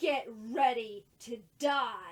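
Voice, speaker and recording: A woman's high-pitched, put-on character voice. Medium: read story.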